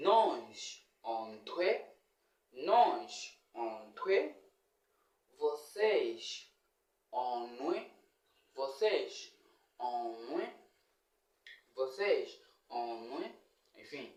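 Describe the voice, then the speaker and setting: Speaking at a very slow pace with long, frequent pauses, a man shows big swings in loudness in a room with audible echo. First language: Nyaneka (speaking Portuguese). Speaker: comedian and YouTuber. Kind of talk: casual language lesson vlog.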